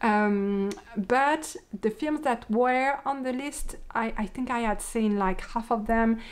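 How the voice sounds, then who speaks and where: A woman speaks with a French accent at a very slow pace. Her pitch is fairly high. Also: ordinary pitch variation. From France. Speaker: podcaster, knitter and yarn dyer. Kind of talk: casual podcast monologue. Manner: hesitant, many fillers.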